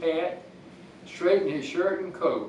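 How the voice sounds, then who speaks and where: A man with a Georgia accent at a moderate pace, audible room echo and noticeable background noise. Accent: Southern American (Georgia). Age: 80s+. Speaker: local historian. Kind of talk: reading aloud.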